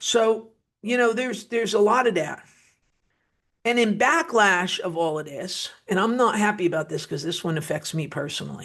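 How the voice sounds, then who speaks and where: With an American accent, a woman speaks at a medium pitch and a moderate pace. Her intonation is lively. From New Jersey, US (Wayne). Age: 50s. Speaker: political commentator. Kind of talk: political commentary monologue. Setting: studio. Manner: animated.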